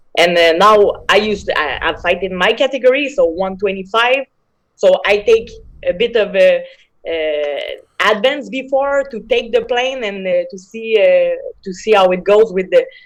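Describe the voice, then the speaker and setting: A woman with a strong French accent speaks at a moderate pace with a fairly high pitch and lively intonation. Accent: big French. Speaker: MMA fighter. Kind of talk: interview. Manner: hesitant, many fillers.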